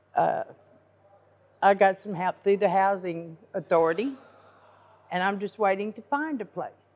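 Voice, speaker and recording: In a Southern US accent, a woman speaks at medium pitch and a moderate pace with ordinary pitch variation, big swings in loudness, and long, frequent pauses. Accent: US South. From Arkansas (Fort Smith). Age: 60s. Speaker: homeless shelter resident. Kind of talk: interview.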